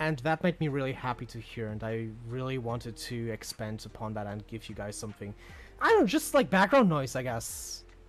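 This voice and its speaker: Music sounds in the background while the words come at a fairly quick pace. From Europe. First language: not English (English is third language). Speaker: livestream co-host. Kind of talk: casual chat. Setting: live stream. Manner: halting, searching for words.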